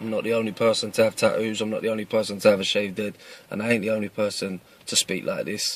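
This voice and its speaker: A man's voice over noticeable background noise. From East London, England. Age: 30s. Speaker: martial arts instructor. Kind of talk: casual address to camera. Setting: in a car.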